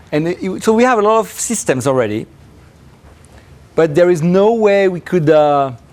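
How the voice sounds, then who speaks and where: Delivered at a moderate pace in a French accent, the voice makes very wide pitch swings and leaves long, frequent pauses. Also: man, high pitch for a man. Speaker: professor. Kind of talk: lecture; Q&A answer. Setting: seminar with audience. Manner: halting.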